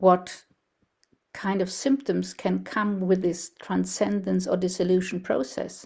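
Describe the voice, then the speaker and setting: This woman has a German accent. She speaks at a fairly slow pace. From Germany. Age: 70s. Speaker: researcher and speaker on ageing. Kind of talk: presentation. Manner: halting.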